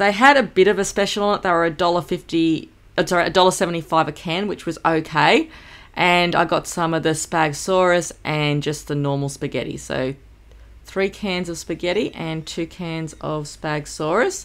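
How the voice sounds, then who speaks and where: This woman has an unremarkable speaking voice at a fairly low pitch. She talks at a moderate pace with ordinary pitch variation. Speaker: homemaker vlogger. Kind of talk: casual vlog chat. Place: home room.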